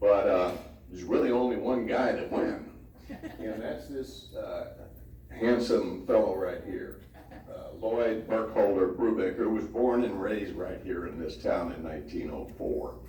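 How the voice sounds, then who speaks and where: A man with an American accent talks at a fairly slow pace, his loudness swinging widely, with audible room echo. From Southern California (Hollywood). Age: 70s. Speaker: family history presenter. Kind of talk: speech to an audience. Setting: family reunion presentation with audience. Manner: hesitant, many fillers.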